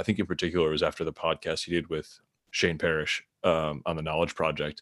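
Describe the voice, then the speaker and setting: A man with a very deep, low voice and a Midwestern American accent, in monotone, flat intonation, on a very clean recording with a silent background. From US Midwest, Michigan near Detroit. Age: 30s. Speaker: author and product strategist. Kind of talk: casual interview.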